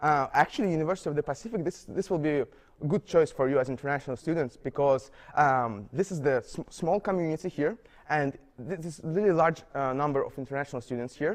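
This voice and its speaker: A man with a non-native accent talks at a very fast pace, his fairly high pitch showing ordinary variation. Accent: non-native, foreign. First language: not English. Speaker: international university student. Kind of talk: interview. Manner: halting, many fillers and repetitions.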